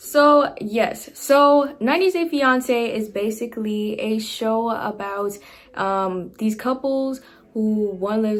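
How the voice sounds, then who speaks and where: With an American accent and an unremarkable speaking voice, a woman talks at a fairly high pitch with ordinary pitch variation. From New York City, the Bronx. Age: 20s. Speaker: YouTuber. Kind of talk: casual vlog commentary. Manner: casual, filler-heavy.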